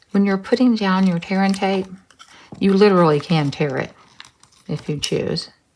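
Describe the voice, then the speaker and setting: A woman speaks with a Texas accent at a medium pitch. She leaves long, frequent pauses. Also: ordinary pitch variation, moderate pace. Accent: Texas twang. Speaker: craft tutorial host. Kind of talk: tutorial. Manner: casual, hesitant with ums.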